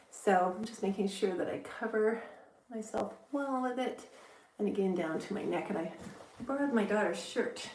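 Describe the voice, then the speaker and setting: Through noticeable background noise, a woman speaks at a fairly high pitch. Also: ordinary pitch variation, moderate pace. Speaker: actor, voiceover artist, content creator. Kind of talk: casual talk to camera. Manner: casual, chatty, upbeat.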